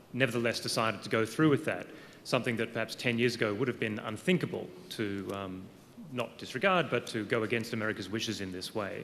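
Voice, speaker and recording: With an Australian accent, a man speaks very fast at a medium pitch with ordinary pitch variation. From Australia, Melbourne. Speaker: law professor. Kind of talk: audience question. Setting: lecture hall with audience.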